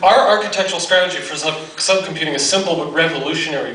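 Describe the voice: Audible room echo surrounds a man speaking at a fairly quick pace with a fairly high pitch.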